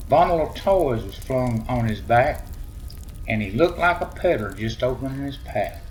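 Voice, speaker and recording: Talking at a moderate pace with lively intonation, a man with a Southern US accent and medium pitch is heard over noticeable background noise. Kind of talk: poem reading. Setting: by a fireplace.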